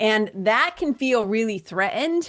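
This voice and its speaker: The speaker talks in a Boston accent. The background is quiet. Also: woman. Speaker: spiritual coach and yoga teacher. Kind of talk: podcast interview conversation. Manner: animated.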